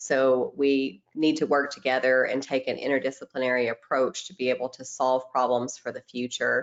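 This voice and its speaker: A woman's very deep, low voice in a Tennessee accent, monotone and flat, at a moderate pace with hardly any pauses and big swings in loudness. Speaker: microbiologist presenting webinar. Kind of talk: webinar presentation. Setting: online webinar.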